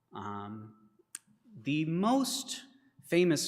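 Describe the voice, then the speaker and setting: With audible room echo around him, a man talks at fairly high pitch. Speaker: congregation member giving reflection. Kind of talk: spoken reflection in a church service. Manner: unscripted, with fillers.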